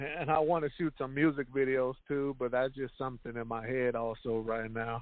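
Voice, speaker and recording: In a normal speaking voice, a man talks at a medium pitch and moderate pace, with fairly even intonation and hardly any pauses. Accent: American. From Houston, Texas. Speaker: rapper. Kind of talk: interview.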